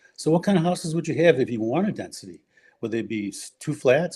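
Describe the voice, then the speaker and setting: A man with a Chicago accent speaks in a dark, mellow tone with lively intonation against a quiet background. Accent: Chicago-area American. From US Midwest, Forest Park, Illinois. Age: 70s. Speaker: urban-planning scholar and former school board member. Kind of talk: podcast interview. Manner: halting, with frequent fillers and restarts.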